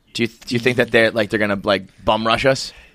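Recorded very cleanly over a silent background, a man speaks at medium pitch in a bright, sharp tone with monotone, flat intonation. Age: 30s. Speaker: comedy podcast host. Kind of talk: casual chat.

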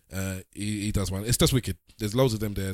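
Captured with a dry, close sound, no echo and a silent background in a very clean recording, a man speaks at a fairly low pitch. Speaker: podcast co-host. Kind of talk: casual chat. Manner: animated.

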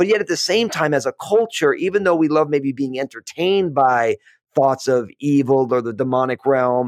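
A man with an American accent, fairly high in pitch, lively in intonation and moderate in pace. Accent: East Coast buried under West Coast. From US East Coast. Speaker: podcast host, pastor-like author. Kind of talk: casual interview chat. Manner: calm, friendly.

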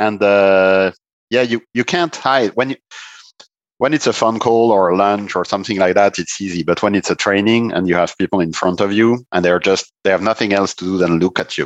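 A man with a French accent talks at a fairly quick pace with ordinary pitch variation. The sound is dry and close with no echo, over a quiet background. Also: fairly low pitch for a man. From northeast France. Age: 50s. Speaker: performance management consultant, former tennis player. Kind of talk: podcast interview.

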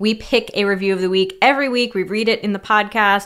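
Over a silent background on a very clean recording, a woman talks at a fairly quick pace and a medium pitch. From California. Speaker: sex therapist and podcast co-host. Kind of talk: casual chat. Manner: animated, laughing often.

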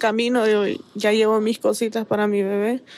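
Over noticeable background noise, a woman with a fairly high voice speaks at a fairly slow pace. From Honduras, San Pedro Sula. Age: 20s. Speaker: migrant. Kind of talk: testimony.

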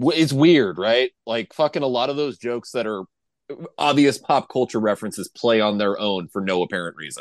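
A normal speaking voice at a fairly quick pace, lively intonation, dry and close sound with no echo. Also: man, medium pitch for a man. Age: 30s. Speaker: podcast co-host. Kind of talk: casual chat.

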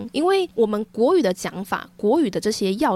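A woman's fairly high, unremarkable speaking voice at a fairly quick pace, with lively intonation. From Taiwan, Taichung. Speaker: podcast host. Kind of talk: casual chat.

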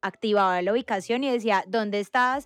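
This woman's ordinary pitch variation comes through a dry, close sound with no echo, over a quiet background. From Colombia, Antioquia and Valle. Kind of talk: casual chat.

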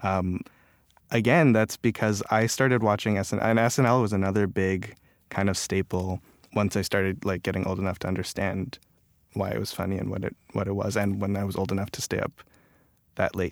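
A man with a Canadian accent speaks in a plain, everyday voice at a fairly quick pace, his fairly low pitch and fairly even intonation captured on a very clean recording with a silent background. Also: dry, close sound with no echo. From Canada (Toronto). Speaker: writer and online humorist. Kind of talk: interview.

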